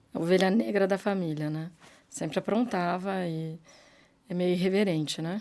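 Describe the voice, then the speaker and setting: In a very clean recording with a silent background, a woman speaks with a dark, mellow tone, a medium pitch and ordinary pitch variation. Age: 60s. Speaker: businesswoman. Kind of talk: interview.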